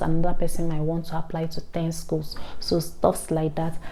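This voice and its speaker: At a moderate pace, a woman with a Nigerian accent speaks in a fairly low pitch with monotone, flat intonation. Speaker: vlogger, international student. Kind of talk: informational vlog.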